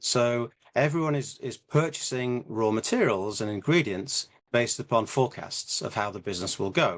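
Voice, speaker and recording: With an English accent and lively intonation, a man of medium pitch talks at a moderate pace against a quiet background. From England. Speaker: business co-founder. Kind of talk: interview. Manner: halting.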